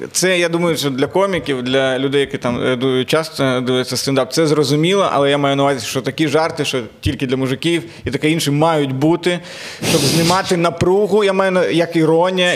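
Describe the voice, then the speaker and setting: A man speaks against noticeable background noise. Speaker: comedian and podcast host. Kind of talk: casual chat.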